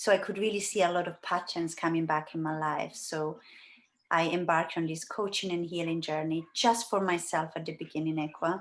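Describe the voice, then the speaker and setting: Her fairly low pitch, fairly even intonation and fairly quick pace come through as a woman speaks with an Italian accent. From Italy. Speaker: life coach and healer. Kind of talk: interview. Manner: hesitant, many fillers.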